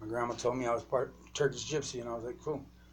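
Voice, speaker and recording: Somewhat breathy, a man speaks at a fairly quick pace. His intonation is monotone and flat. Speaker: vlogger. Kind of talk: rambling vlog monologue. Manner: hesitant, many fillers.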